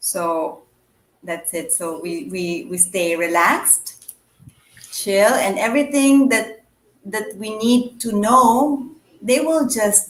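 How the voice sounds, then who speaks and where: A woman with a Filipino accent speaks very slowly at a fairly high pitch. Her intonation is lively. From Philippines, Manila. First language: Tagalog. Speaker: writer and blogger. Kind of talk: interview chat. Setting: online live stream. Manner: halting, many fillers.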